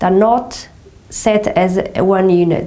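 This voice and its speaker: With a Portuguese accent, a woman of medium pitch speaks in a gentle, dark, mellow tone with ordinary pitch variation, and room echo is audible. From Portugal. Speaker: movement and yoga teacher. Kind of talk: guided exercise instruction. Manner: slow, gentle.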